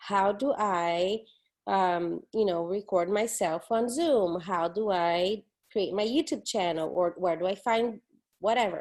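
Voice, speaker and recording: At a fairly slow pace, a woman with a Portuguese accent speaks at medium pitch with ordinary pitch variation against a quiet background. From Brazil, São Paulo. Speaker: professor. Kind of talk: recorded online lecture. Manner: casual, conversational with fillers.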